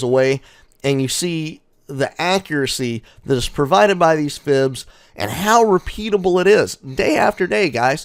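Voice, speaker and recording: Loud and animated, a man talks at a fairly high pitch with very wide pitch swings. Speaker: day trading educator. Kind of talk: market recap tutorial. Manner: loud, in your face.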